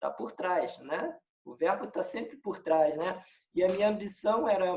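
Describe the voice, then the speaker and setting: A man talks with a high pitch. His pace is moderate. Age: 60s. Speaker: film director. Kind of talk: interview. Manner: halting.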